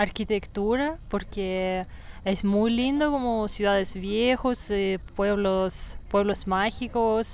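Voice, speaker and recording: With a Russian accent, a woman speaks very slowly at a medium pitch with ordinary pitch variation and very even loudness, in a dry sound with no echo. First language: Russian (speaking Spanish). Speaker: yoga teacher. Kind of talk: casual interview. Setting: outdoors in a park. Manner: fluent. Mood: calm, relaxed. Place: forest. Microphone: lapel.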